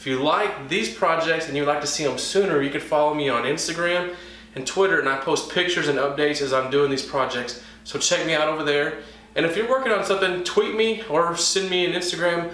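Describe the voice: With strong room echo around him, a man talks at a fairly quick pace in a fairly high voice with lively intonation. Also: fairly bright tone.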